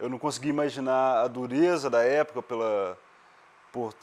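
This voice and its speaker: A man speaks in an ordinary speaking voice at medium pitch, with lively intonation and a moderate pace. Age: 20s. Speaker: photographer. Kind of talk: documentary interview.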